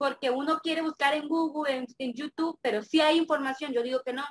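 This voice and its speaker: A woman uses a raised, projected voice at a high pitch. Her tone is bright and sharp, and the sound is dry and close with no echo. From Mexico, Campeche. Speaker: affiliate marketer. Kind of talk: interview.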